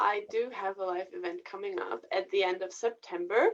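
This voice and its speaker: Very wide pitch swings with a German accent. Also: woman. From Germany, rural. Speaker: singer and vocal coach. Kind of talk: casual interview.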